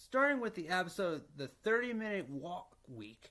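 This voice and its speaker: Very wide pitch swings mark a man's bright, sharp voice as he speaks at a fairly slow pace. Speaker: fan explaining a TV show. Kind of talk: reading explainer narration. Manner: stuttering.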